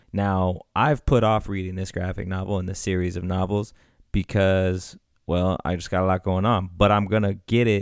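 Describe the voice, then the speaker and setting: On a very clean recording with a silent background, a man with an ordinary speaking voice talks at a moderate pace, his pitch fairly low. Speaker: podcast co-host. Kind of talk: casual chat.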